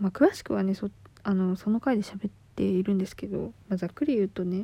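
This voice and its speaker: A woman with an ordinary speaking voice talks at a fairly quick pace, her pitch medium and its variation ordinary. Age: 20s. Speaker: podcaster. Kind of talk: casual monologue. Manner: casual, laughing.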